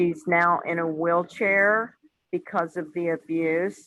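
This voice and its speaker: A woman speaks at a medium pitch in a bright, sharp tone. Her intonation stays fairly even. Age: 60s. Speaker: parent. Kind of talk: testimony.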